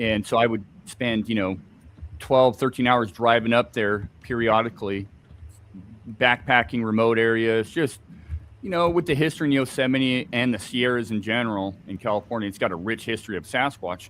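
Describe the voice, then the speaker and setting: Speaking at a moderate pace, a man with an American accent uses a medium pitch. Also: ordinary pitch variation. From Scotland. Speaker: Bigfoot researcher. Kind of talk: interview on live stream.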